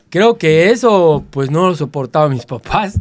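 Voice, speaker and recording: Lively in intonation and fairly slow in pace, the speaker has an unremarkable speaking voice. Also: man. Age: 60s. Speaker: interviewee sharing life story. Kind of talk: interview.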